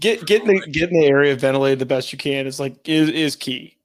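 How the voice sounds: Speaking at a fairly quick pace, a man with a Chicago accent has a fairly high pitch. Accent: Chicago-area Midwestern.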